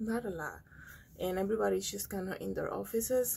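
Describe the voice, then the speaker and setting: A woman with a dark, mellow tone speaks at a fairly quick pace. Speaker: vlogger. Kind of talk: casual vlog chat. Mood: calm, slightly amused. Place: studio. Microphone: phone near.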